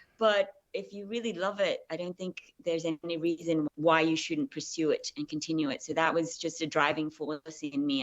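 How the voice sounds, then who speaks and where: A woman with an Australian accent, fairly low in pitch, with ordinary pitch variation at a moderate pace. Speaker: actress. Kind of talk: interview. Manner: hesitant.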